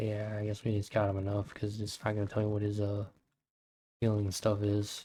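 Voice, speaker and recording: Soft-spoken and fairly low in pitch, a man talks at a fairly quick pace with monotone, flat intonation. The recording is very clean, with a silent background. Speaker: gaming streamer. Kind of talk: live gameplay commentary.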